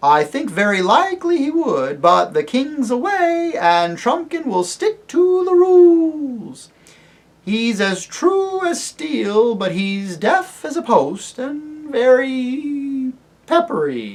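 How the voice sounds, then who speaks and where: A man puts on a character voice at an extremely high pitch, speaking at a very slow pace. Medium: read story.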